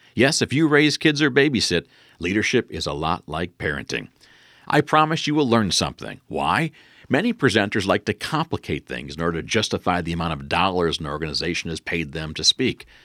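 A man with an American accent speaks at a fairly quick pace in a very deep, low voice, his pitch swinging very widely and his tone bright and sharp, recorded very cleanly in a dry, close sound with no echo against a silent background. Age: 50s. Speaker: leadership speaker and trainer. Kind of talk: solo podcast talk. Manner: direct, blunt.

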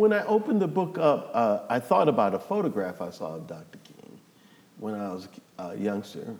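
A man with an American accent at a moderate pace. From New Orleans, US South. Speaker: professor and author. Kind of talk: casual interview.

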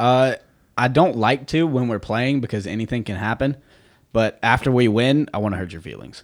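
A man with an American accent talks at a moderate pace in an ordinary speaking voice, with a medium pitch and ordinary pitch variation. His loudness swings widely, and the recording is very clean with a silent background. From United States. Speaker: professional soccer player. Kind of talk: casual chat. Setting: studio.

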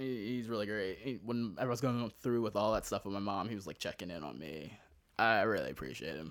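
An unremarkable speaking voice with an American accent moves at a fairly quick pace with lively intonation. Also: man, fairly low pitch for a man. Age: 30s. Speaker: comedian. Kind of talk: casual chat.

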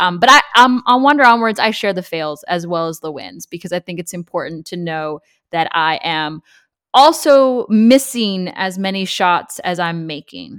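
Speaking with an American accent at a medium pitch and moderate pace, a woman uses lively intonation and big swings in loudness, in a dry, close sound with no echo on a very clean recording with a silent background. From US West Coast, Los Angeles. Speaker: personal finance content creator. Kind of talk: interview.

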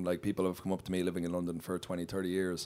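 In an Irish accent, a man with a dark, mellow tone speaks at a fairly quick pace. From Ireland. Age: 30s. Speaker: comedian. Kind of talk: live podcast recording, casual chat. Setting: stage with audience.

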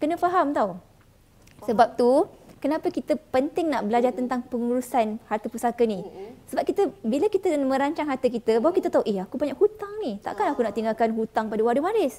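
Speaking at a very fast pace, a woman has a high pitch with very wide pitch swings. Noticeable background noise runs underneath. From Johor, Malaysia. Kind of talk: live-streamed talk show interview. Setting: hotel room set.

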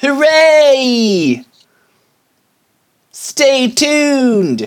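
This is a put-on character voice. It is nasal and high in pitch. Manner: chirpy, announcer-like.

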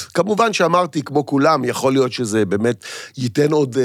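A normal speaking voice from a man at medium pitch, moderate in pace, with lively intonation. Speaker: actor and comedian. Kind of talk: casual chat.

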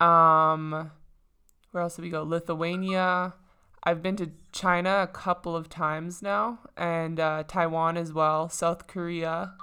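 A woman at a very slow pace, with a slight Canadian accent, fairly low pitch, monotone, flat intonation and a bright, sharp tone. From Saskatchewan, Canada. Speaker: professional basketball player. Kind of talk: casual interview.

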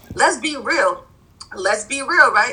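Noticeable background noise accompanies the speech of a woman. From Providence, Rhode Island. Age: 20s. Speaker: graduate student. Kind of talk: casual chat.

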